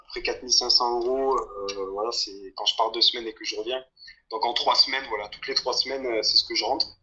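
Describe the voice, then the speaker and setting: The voice moves at a moderate pace with big swings in loudness. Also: man. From southern France. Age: 20s. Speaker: long-term traveller and mine worker. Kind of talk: casual chat. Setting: remote call.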